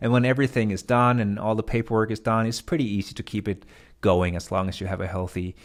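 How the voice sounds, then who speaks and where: On a very clean recording with a silent background, a man with a fairly low voice speaks at a very fast pace with ordinary pitch variation. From Denmark. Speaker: vlogger, business owner. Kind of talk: casual vlog explanation. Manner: hesitant, many fillers and restarts.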